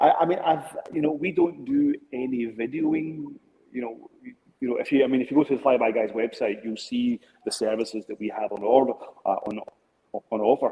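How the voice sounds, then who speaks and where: A man talks at a fairly quick pace, his medium pitch showing ordinary variation. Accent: Scottish. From Scotland. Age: 50s. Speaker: drone business owner. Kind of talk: interview. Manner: halting.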